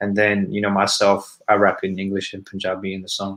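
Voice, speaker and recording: On a very clean recording with a silent background, a man with an Australian accent talks at a moderate pace. His tone is bright and sharp, his pitch fairly low, and his intonation monotone and flat. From Sydney, Australia. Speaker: rapper. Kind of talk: interview. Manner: casual, many fillers.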